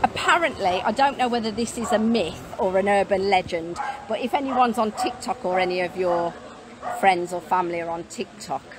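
Over noticeable background noise, a woman talks at a moderate pace with ordinary pitch variation. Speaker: mobile home seller. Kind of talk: casual live stream chat. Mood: cheerful, laughing. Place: street. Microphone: phone near.

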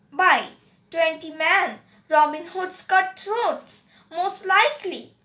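At a very slow pace, a woman speaks in a raised, projected voice, extremely high in pitch and bright, sharp in tone. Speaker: audiobook reader. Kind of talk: audiobook reading of a story, narrated aloud. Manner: steady storyteller pace, formal and narrative.

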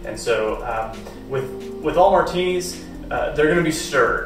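A man talks at a moderate pace over clear background music, with audible echo in the room. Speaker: home bartender demonstrating cocktails. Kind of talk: tutorial. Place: home room. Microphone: camera far.

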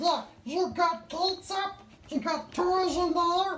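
In a cartoonish character voice, a woman talks at an extremely high pitch and a fairly slow pace. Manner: conspiratorial, indignant.

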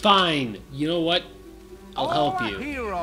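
With music in the background, a man speaks at a very slow pace in a high pitch marked by very wide pitch swings. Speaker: gaming video co-host, playing the game. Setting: recording at home with a microphone, playing a video game. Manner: loud.

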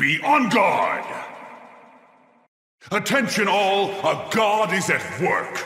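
A man puts on a character voice, high-pitched and bright and sharp in tone, swinging very widely in pitch at a slow pace over faint background music.

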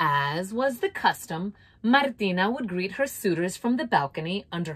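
Lively intonation in a plain read-aloud delivery.

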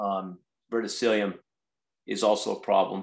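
With a quiet background, a man speaks at a moderate speed. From California (Watsonville area); California. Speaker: strawberry farmer and farm manager; guest. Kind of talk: guest lecture. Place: home room. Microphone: video call.

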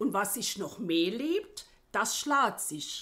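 With a Saarland accent, the voice moves at a very slow pace, its pitch swinging very widely and its tone bright and sharp. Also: woman. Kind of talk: reading proverbs in local dialect.

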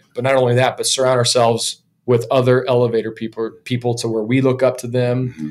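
Talking at a very fast pace, a man with a medium pitch and fairly even intonation shows big swings in loudness. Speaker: podcast host. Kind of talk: casual interview. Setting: in-person in a small echoey room. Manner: casual. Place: studio. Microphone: studio mic.

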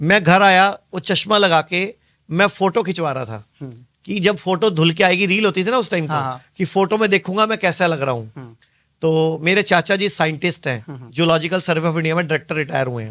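A bright, sharp tone with lively intonation. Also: man, high pitch for a man, moderate pace, quiet background. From western Uttar Pradesh, Saharanpur; western Uttar Pradesh. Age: 40s. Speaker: Ayurveda practitioner; guest. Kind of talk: interview. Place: studio. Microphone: studio mic.

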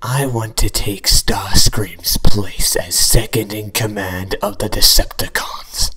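Using a put-on character voice, a man speaks at a fairly slow pace with hardly any pauses. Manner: smug, sly.

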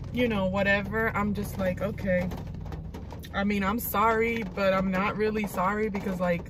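With noticeable background noise in a dry sound with no echo, a woman speaks with monotone, flat intonation. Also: moderate pace. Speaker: vlogger. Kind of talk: casual vlog chat. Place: car. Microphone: phone near.

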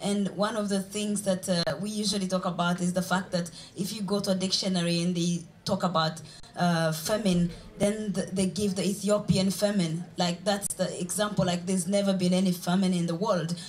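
Over light background noise, a woman speaks at a fairly quick pace in a somewhat breathy voice with flat, monotone intonation. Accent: Ugandan. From Uganda. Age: young. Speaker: journalist and blogger; journalist, blogger. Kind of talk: panel debate. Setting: stage with audience. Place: stage. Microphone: handheld.

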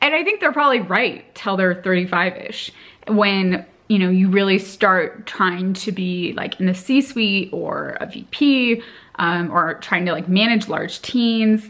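This woman's voice sits at a medium pitch with ordinary variation. She speaks at a very slow pace. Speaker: vlogger and MBA student. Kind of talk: casual vlog monologue. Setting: filmed on location in Montana. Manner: casual, conversational. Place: home room. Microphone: camera far.

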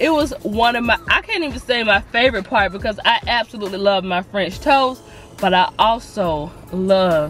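Faint music sits behind a woman who speaks at a moderate pace with ordinary pitch variation in a dry sound with no echo. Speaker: food vlogger. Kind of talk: casual vlog chat, restaurant review. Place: car. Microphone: phone near.

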